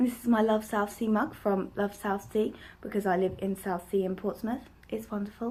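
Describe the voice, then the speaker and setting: A woman's somewhat breathy, dark and mellow voice at a medium pitch, flat and monotone, at a moderate pace. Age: 20s. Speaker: book vlogger. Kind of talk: casual vlog monologue.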